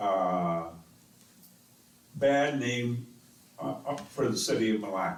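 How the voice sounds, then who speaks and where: A man talks at a very slow pace with lively intonation. Room echo is audible. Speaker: city council member. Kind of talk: council meeting debate. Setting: council chamber with microphones. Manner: slow and loud.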